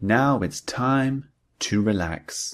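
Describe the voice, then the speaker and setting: Heard against a silent background in a very clean recording, a man speaks with a British accent. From United Kingdom. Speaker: English teacher. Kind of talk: language lesson drill sentences. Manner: slow, clear.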